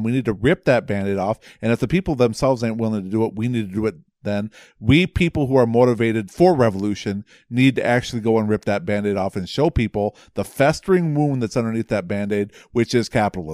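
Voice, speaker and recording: In a very clean recording with a silent background and a dry, close sound with no echo, a man of medium pitch speaks in a normal speaking voice at a fairly quick pace with lively intonation. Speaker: podcast co-host (the marine).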